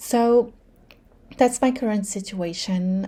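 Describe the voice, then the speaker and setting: Her tone is dark and mellow, with a somewhat breathy quality to the woman's voice. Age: 30s. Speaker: vlogger. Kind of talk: personal vlog monologue. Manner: casual, many fillers.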